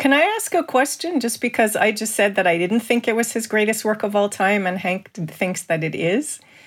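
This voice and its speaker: A woman's fairly high voice in a Canadian accent, a normal speaking voice, at a moderate pace with lively intonation and hardly any pauses. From Canada. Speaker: film historian and cultural critic. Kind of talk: casual discussion.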